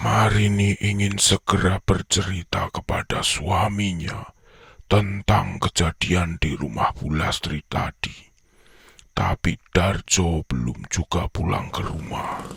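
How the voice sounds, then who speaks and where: A man speaks at a fairly slow pace in a put-on character voice. His pitch is very deep and low. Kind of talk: horror narration. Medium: audio drama. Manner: measured, suspenseful.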